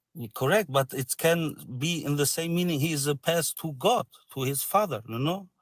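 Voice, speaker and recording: A fairly high-pitched man with a non-native accent, ordinary pitch variation and a moderate pace, in a dry, close sound with no echo on a very clean recording with a silent background. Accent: foreign, non-native English. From Syria. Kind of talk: religious debate. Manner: halting, many fillers; polite, friendly.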